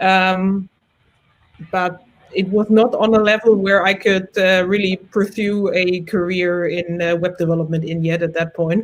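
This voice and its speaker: The intonation is flat and monotone. This woman's voice sits at a medium pitch. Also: fairly slow pace. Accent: German. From Germany. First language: German. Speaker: front-end developer, community chapter leader. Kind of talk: casual chat.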